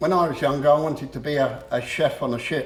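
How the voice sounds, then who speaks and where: Audible room echo colors the voice of a man with an English accent and ordinary pitch variation. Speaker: motivational speaker. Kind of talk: public talk. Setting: room with audience. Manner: halting.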